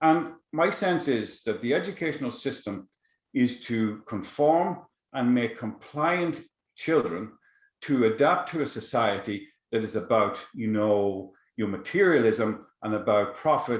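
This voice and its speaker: With lively intonation, a man at a medium pitch talks at a fairly slow pace. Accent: Irish. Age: 60s. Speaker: psychotherapist and shamanic teacher. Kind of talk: podcast interview. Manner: halting.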